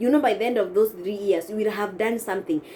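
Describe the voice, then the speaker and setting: There is noticeable noise in the background. The woman speaking has a medium-pitched voice. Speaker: vlogger. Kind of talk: casual vlog advice. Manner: halting, with self-corrections.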